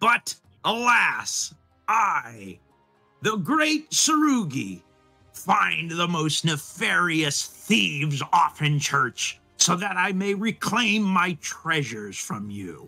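Using a put-on character voice, a man speaks very slowly at a high pitch over faint music in the background. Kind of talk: theatrical, archaic heroic speech. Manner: pompous, dramatic.

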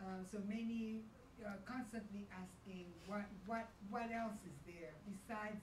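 A woman's voice with fairly even intonation, over noticeable background noise. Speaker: event moderator. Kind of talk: panel moderation. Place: hall.

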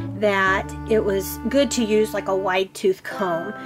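Speech comes at a very slow pace over clear music in the background. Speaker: doll hobby creator. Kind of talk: tutorial. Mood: gentle, cheerful. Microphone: camera far.

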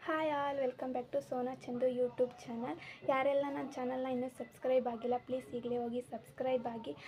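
This woman has a high-pitched voice. Her intonation is fairly even. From India, Karnataka, Mandya district village. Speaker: vlogger and homemaker. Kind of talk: self-introduction vlog.

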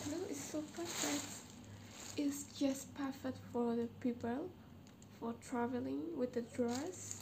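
Quiet and very slow, a woman with a high pitch and a dark, mellow tone makes very wide pitch swings against noticeable background noise. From Myanmar. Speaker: first-time vlogger. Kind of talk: casual talk to camera. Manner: shy, quiet. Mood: shy, excited. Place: home room. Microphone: camera far.

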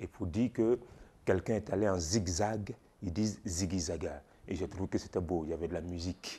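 With a very deep, low pitch and a dark, mellow tone, a man speaks at a moderate pace, somewhat breathy, with ordinary pitch variation. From Ivory Coast. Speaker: storyteller. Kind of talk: interview answer. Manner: hesitant. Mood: warm, smiling, animated. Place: shop. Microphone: lapel.

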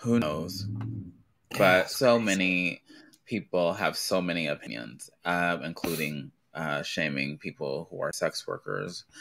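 With vocal fry and a very deep, low pitch, a man speaks at a fairly slow pace using ordinary pitch variation. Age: 30s. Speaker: drag live stream co-host. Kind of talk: casual chat; news reading.

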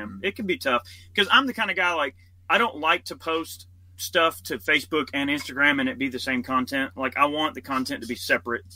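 A man's fairly high voice, very fast, with lively intonation. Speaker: gun YouTuber. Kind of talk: casual chat.

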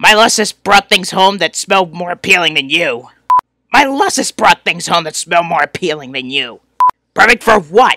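In a put-on character voice, a man projects loudly at a high pitch and a moderate pace. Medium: read story. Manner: sarcastic, whiny, insulting.

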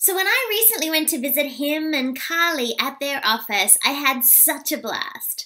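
At a moderate pace, a woman speaks in a high, squeaky voice with a bright, sharp tone. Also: lively intonation.

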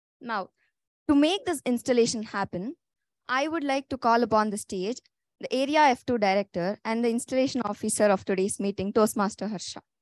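The delivery is fairly quick, with ordinary pitch variation. The sound is dry with no echo, and the background is quiet. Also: woman. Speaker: meeting host. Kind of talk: formal meeting hosting. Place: classroom.

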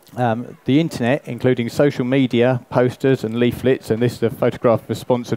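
At a fairly quick pace, a man speaks in a dark, mellow tone with a dry sound and no echo. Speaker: presenter. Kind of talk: lecture. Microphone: headset.

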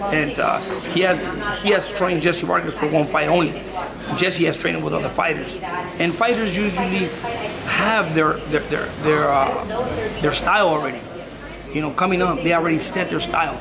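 Through loud background noise, a man talks at a fairly quick pace with ordinary pitch variation. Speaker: boxing trainer. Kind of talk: interview answer.

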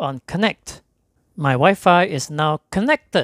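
A man talks at a slow pace, and the sound is dry and close with no echo.

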